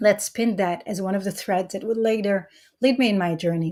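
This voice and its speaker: A woman's medium-pitched, somewhat breathy voice in a dark, mellow tone, at a moderate pace with ordinary pitch variation, on a very clean recording with a silent background. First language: Hebrew. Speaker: mother sharing her story. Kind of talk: testimony. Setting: live-streamed summit. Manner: halting.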